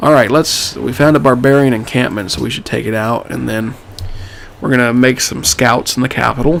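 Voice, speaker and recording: A man talks fairly quickly, and noticeable background noise runs underneath. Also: medium pitch for a man, ordinary pitch variation. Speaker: gaming YouTuber. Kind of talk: let's play commentary. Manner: casual, conversational.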